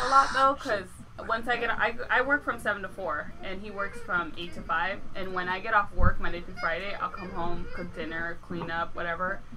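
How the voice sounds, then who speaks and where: A woman at a moderate pace with lively intonation, big swings in loudness and hardly any pauses, music in the background. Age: 20s. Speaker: podcast guest. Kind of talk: casual chat. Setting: garage.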